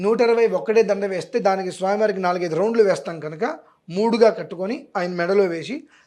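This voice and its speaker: A man's high pitch with ordinary pitch variation. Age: 40s. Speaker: astrologer and religious scholar. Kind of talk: interview on religious remedies.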